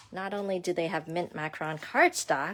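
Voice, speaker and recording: A woman mumbling at a fairly slow pace. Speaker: craft demonstrator. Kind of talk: live craft tutorial. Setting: livestream at home desk. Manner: chatty, mumbles to herself.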